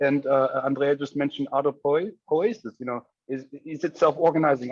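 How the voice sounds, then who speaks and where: A man with a German accent at a moderate pace. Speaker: academic discussant. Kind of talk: group discussion. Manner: halting, many fillers.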